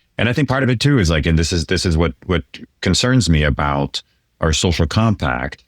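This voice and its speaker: A man's very deep, low pitch with vocal fry and very wide pitch swings, in a dry, close sound with no echo and a very clean recording with a silent background. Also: fairly quick pace, very even loudness. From France. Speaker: podcast host, finance. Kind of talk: interview conversation.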